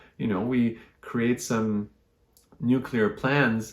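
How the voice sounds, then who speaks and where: A man speaks with a French Canadian accent. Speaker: astrologer. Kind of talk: astrology talk to camera.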